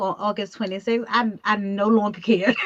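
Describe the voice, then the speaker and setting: A woman speaks fairly quickly while noticeable background noise carries on behind her. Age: 50s. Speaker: talk show host, awards executive producer. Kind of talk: casual video chat interview.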